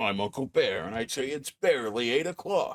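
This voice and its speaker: A man adopts a put-on character voice, keeping a medium pitch and moving at a moderate speed. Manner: playful, imitation of a video game mascot.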